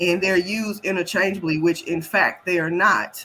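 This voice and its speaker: This woman's voice sits at a medium pitch and carries a bright, sharp tone. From US South, Memphis, Tennessee. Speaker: health equity expert, Navy veteran. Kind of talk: panel interview.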